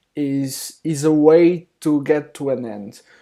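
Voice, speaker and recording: A man's fairly high, dark and mellow voice with a non-native accent at a very slow pace, on a very clean recording against a silent background. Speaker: software developer. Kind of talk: tutorial. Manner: halting, many fillers.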